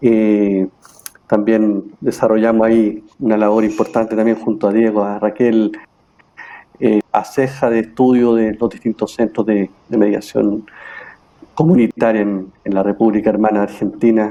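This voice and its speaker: The speaker is a man talking at a fairly slow pace. His intonation is monotone and flat. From Chile, Santiago. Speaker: mediator and facilitator. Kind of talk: panel discussion.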